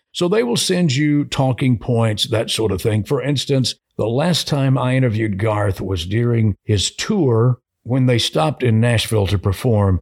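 A somewhat breathy man with an American accent and medium pitch speaks at a fairly slow pace with lively intonation, very even loudness, and hardly any pauses, in a dry, close sound with no echo. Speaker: radio host and program director. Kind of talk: casual interview chat. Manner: polished, composed, measured.

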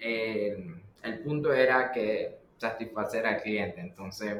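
Spoken in a Nicaraguan accent at a very slow pace, the voice has ordinary pitch variation over noticeable background noise. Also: man. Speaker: pizzeria co-owner. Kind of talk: casual interview conversation.

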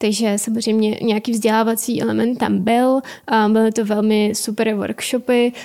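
A woman speaks at a moderate pace with a fairly high pitch and a dark, mellow tone. Her intonation is monotone and flat, and her loudness stays very even. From Ukraine. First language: Ukrainian (speaking Czech). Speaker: intern in business consulting. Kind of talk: interview.

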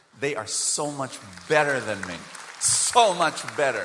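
A bright, sharp tone at a moderate pace, with very wide pitch swings and audible room echo. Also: man. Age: 50s. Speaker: preacher. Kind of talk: sermon. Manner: animated.

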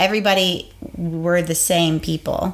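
Her voice is a plain, everyday voice, fairly low in pitch. The woman keeps her intonation fairly even. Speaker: podcast co-host, teacher. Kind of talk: casual chat.

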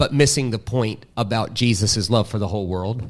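A man with a Southern US accent at a medium pitch and moderate pace. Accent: Southern American. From US South. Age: 40s. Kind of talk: casual interview.

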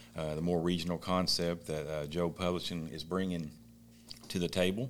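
Spoken in a Kentucky accent, the words come at a moderate pace with fairly even intonation. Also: man. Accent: Southern US (Kentucky). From Eastern Kentucky. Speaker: local interview host. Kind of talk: casual interview.

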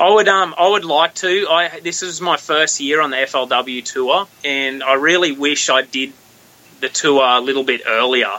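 There is noticeable background noise as a man with an Australian accent speaks at a fairly slow pace, his pitch fairly high with ordinary variation. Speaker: professional bass angler. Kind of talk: casual interview chat. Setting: phone call.

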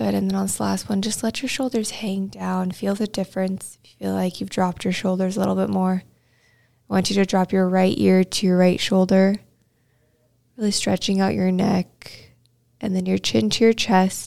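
A woman's loudness swings widely as she speaks. The recording is very clean, with a silent background. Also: moderate pace. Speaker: podcast host and meditation guide. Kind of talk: guided meditation, gentle spoken breathing and body-scan instructions. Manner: casual and conversational, with fillers like um and kind of.

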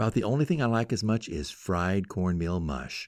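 A man speaks at a moderate pace in a very deep, low voice with very wide pitch swings. The recording is very clean, with a silent background. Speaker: radio host. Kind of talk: storytelling narration; radio talk show monologue.

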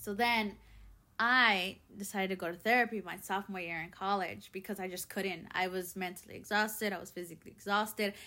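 Speaking with a Spanish accent at a fairly quick pace, a woman has a medium pitch and a bright, sharp tone, with fairly even intonation and big swings in loudness. The recording is very clean, with a silent background. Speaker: podcast host. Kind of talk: personal monologue.

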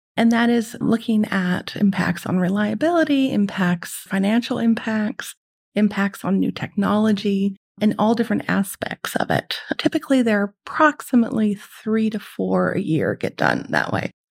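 Somewhat breathy, a woman talks with ordinary pitch variation. The sound is dry and close, without echo. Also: medium pitch for a woman, moderate pace. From Netherlands, French schools; later California. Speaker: economist. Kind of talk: interview.

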